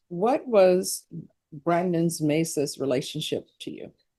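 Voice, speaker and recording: The tone is dark and mellow. Intonation stays lively throughout. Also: woman. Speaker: judge. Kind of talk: court hearing. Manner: fast.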